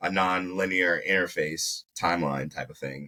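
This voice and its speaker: A man talks with a Baltimore accent. His tone is bright and sharp. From South Carolina, then Baltimore from early teens. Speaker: video producer, entrepreneur. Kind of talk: casual interview chat.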